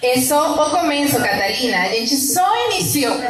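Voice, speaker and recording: With audible room echo and noticeable background noise, a woman speaks at a high pitch and a moderate pace. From Venezuela. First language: Spanish (speaking Portuguese). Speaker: migrant community activist. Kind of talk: panel presentation. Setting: outdoor courtyard, live audience.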